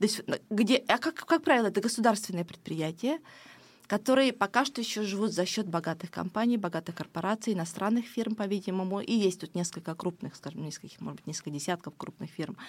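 Speaking at a very fast pace, a woman with a medium pitch and lively intonation swings widely in loudness on a very clean recording with a silent background. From Ukraine, village, moved to Estonia as child. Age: 40s. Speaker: fashion designer and politician. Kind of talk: interview.

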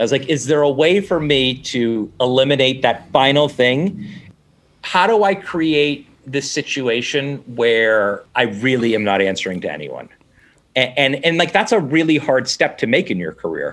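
Using an unremarkable speaking voice, a man talks at a moderate pace in a medium pitch with lively intonation. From Boston area, Massachusetts (Newton). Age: 40s. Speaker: TV executive producer. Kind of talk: casual interview.

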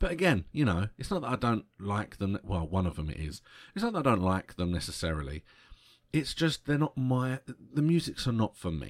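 A man with a British accent at medium pitch, very wide pitch swings, on a very clean recording with a silent background. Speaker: podcast host. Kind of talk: solo podcast monologue about concert memories. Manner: slows down to control stammer; excitable, tends to trip over words.

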